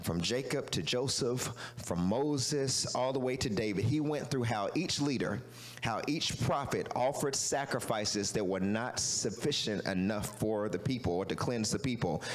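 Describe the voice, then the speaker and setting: A man at a moderate pace with ordinary pitch variation and very even loudness. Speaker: pastor. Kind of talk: sermon. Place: church. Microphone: handheld.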